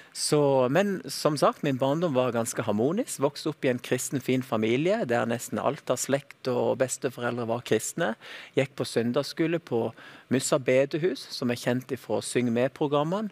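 A man with an ordinary speaking voice, ordinary pitch variation and a moderate pace, in a very clean recording with a silent background and a dry, close sound with no echo. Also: medium pitch for a man. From Dalane, Rogaland, southwestern Norway. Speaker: flight attendant and TV presenter. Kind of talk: testimony.

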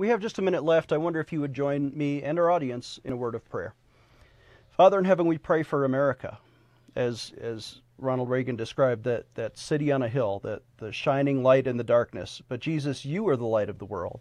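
An unremarkable speaking voice, a man's, fairly high in pitch, with lively intonation and a fairly quick pace over a quiet background. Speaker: TV news show host and chaplain. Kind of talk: interview with ministry pitch. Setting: studio.

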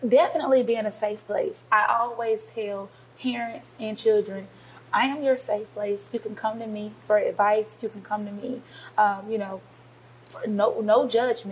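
In a plain, everyday voice, a woman talks at a moderate pace in a fairly high pitch, her intonation fairly even and her loudness swinging widely. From US South, Georgia (Covington). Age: 20s. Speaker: youth pastor. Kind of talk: interview.

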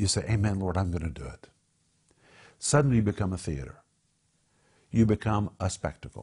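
This man has a very deep, low pitch and a dark, mellow tone with vocal fry. He talks at a fairly quick pace with lively intonation and long, frequent pauses against a quiet background. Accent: American. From Oklahoma (Tulsa). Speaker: Bible teacher and show host. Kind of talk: Bible teaching and group discussion. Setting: studio. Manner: animated.

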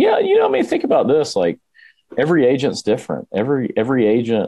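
A man with a Southern US accent, talking at a fairly quick pace. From Alabama. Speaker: real estate team leader. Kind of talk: podcast interview.

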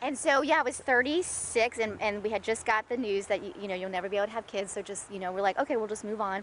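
A woman speaks with a Georgia accent at a very fast pace. Her pitch is fairly high. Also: ordinary pitch variation. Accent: US Southern (Georgia). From Atlanta, Georgia, US South. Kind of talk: testimony. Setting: at her home.

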